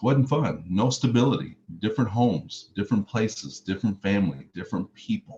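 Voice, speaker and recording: Fairly quick and somewhat breathy, a man speaks with lively intonation. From US South, Mississippi, then Chicago. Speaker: motivational speaker, former pro football player. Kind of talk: motivational speech.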